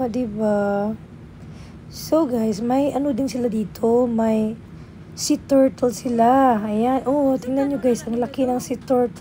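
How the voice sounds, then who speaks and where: Pausing long and often, a woman with a fairly high pitch and a dark, mellow tone speaks very slowly with ordinary pitch variation. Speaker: travel vlogger. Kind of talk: travel vlog.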